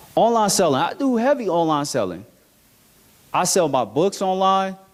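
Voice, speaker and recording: A high-pitched man with an American accent, animated in tone, with lively intonation, moderate pace and very even loudness, over noticeable background noise. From United States. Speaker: motivational speaker. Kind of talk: motivational talk.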